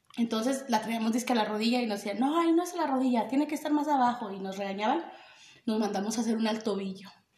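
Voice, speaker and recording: A woman speaks at a very fast pace and fairly high pitch. Room echo is audible. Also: ordinary pitch variation. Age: 20s. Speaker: podcast co-host. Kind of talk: casual chat.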